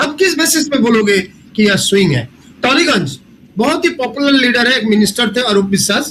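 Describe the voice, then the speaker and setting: Noticeable background noise sits behind a voice of very even loudness. The intonation is lively and the pace moderate. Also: man, extremely high pitch for a man. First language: not Hindi (speaking Hindi). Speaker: professor, election data analyst. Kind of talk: panel discussion analysis. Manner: halting, many fillers.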